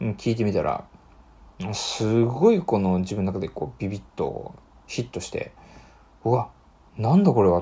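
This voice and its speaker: The speaker is a man. He talks at a moderate pace. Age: 30s. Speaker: podcast host. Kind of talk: solo casual talk.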